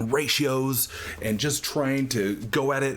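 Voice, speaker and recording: Noticeable background noise is present. Through it, a man talks at medium pitch. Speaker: gaming YouTuber. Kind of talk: gameplay commentary. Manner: hesitant fillers.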